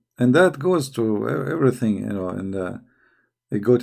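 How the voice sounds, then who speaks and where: With an Arabic accent, a man talks at a fairly quick pace in a dark, mellow tone. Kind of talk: casual live chat. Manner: halting, repetitive.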